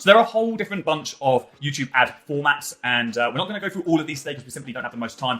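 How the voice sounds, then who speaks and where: Music plays in the background as the speaker rushes along at a very fast pace with very wide pitch swings. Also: man. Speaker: online marketing coach. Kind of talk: tutorial.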